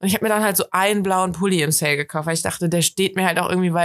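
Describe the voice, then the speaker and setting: A woman speaks at a very fast pace and fairly low pitch with ordinary pitch variation, the sound dry and close with no echo. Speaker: podcast co-host. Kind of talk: casual chat. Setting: sitting in bed at home.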